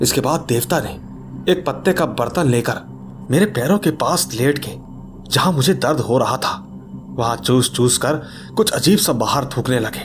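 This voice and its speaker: With music in the background, a man of medium pitch speaks with lively intonation and long, frequent pauses. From Jammu and Kashmir, India. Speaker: horror story narrator. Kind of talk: reading aloud a listener's horror story; storyteller's outro to viewers.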